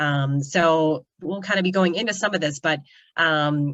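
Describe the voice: This woman's voice sits low in pitch, with ordinary pitch variation and a fairly bright tone.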